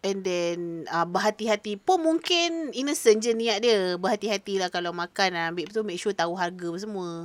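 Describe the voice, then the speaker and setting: On a very clean recording with a silent background and a dry, close sound with no echo, a woman with an unremarkable speaking voice and medium pitch talks at a moderate pace with lively intonation and hardly any pauses. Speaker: podcast co-host. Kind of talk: casual chat.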